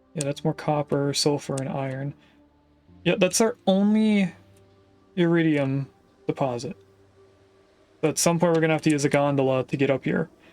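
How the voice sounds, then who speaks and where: Over music in the background, a man with a fairly high pitch talks at a moderate pace with ordinary pitch variation and long, frequent pauses, in a dry, close sound with no echo. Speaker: video game streamer. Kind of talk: gameplay commentary. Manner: casual, thinking aloud with fillers.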